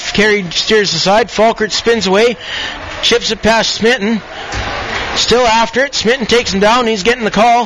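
With noticeable background noise, a man speaks in a high pitch at a moderate pace. His intonation is fairly even. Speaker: hockey play-by-play commentator. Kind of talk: live play-by-play sports commentary. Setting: rink broadcast booth, internet radio.

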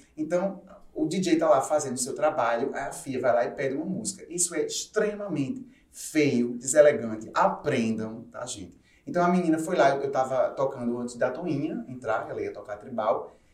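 With audible room echo, a man speaks at a fairly high pitch with lively intonation. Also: moderate pace. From João Pessoa, Paraíba, Brazil. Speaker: DJ. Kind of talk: casual chat.

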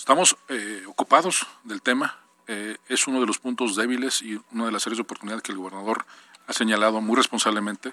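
At a fairly quick pace, a man speaks in a bright, sharp tone with ordinary pitch variation and big swings in loudness, the sound dry and close with no echo. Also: medium pitch for a man. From Mexico, Puebla. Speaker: state government official. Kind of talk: radio interview. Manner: halting, repeats words.

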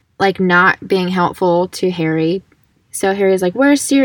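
Quiet surroundings and an unforced reading voice

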